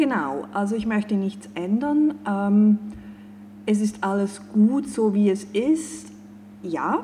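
A woman at medium pitch speaks at a very slow pace, with long, frequent pauses. Noticeable background noise runs underneath. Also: lively intonation. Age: 40s. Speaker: life and career coach. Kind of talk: podcast interview.

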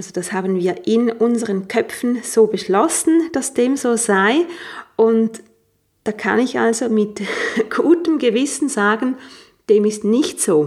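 Here a woman with a fairly high pitch speaks at a very slow pace. Her intonation is lively, broken by long, frequent pauses. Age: 40s. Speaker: life coach and yoga teacher. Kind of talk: podcast monologue; sales pitch.

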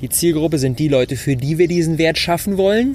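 The speaker sounds animated, with ordinary pitch variation and noticeable background noise. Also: man. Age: 20s. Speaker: entrepreneur. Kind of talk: solo podcast talk. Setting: outdoors on rooftop terrace.

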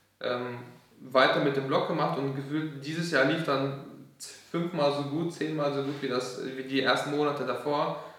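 A man's fairly high, monotone voice at a moderate pace, flat in intonation, with noticeable background noise and audible room echo. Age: 20s. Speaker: software developer and entrepreneur. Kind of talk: casual chat.

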